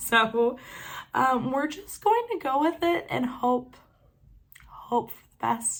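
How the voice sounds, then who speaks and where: A woman speaks in a somewhat breathy voice. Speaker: knitting vlogger. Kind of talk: casual vlog chat. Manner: hesitant, many fillers.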